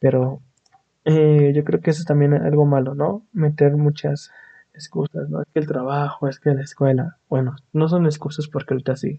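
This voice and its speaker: A man with a Mexican accent speaks at a moderate pace, his voice fairly high and somewhat breathy. His intonation stays fairly even. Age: 20s. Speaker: podcast host, aspiring animator. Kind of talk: casual monologue. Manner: halting, many fillers.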